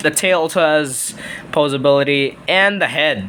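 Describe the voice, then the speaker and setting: A man's fairly high voice at a fairly slow pace over noticeable background noise. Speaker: toy reviewer. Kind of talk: toy review video. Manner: halting.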